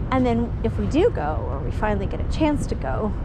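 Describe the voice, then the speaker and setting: A woman at a moderate pace amid noticeable background noise. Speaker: vlogger. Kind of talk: casual vlog chat. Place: street. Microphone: phone near.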